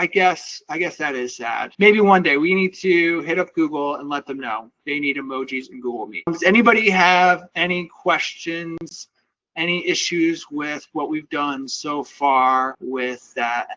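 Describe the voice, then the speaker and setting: With an ordinary speaking voice, a man at a fairly high pitch talks at a fairly slow pace, showing ordinary pitch variation and big swings in loudness. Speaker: AI automation instructor. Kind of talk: live tutorial. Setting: video call.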